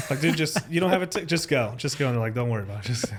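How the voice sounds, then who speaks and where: A man talks at a very fast pace. He has a Spanish accent. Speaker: podcast host. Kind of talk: casual chat. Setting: studio. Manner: animated.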